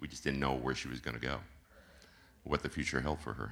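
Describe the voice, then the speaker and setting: Vocal fry runs through this man's very deep, low voice, which has a bright, sharp tone. His intonation stays fairly even. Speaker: congregation member giving testimony. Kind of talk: testimony.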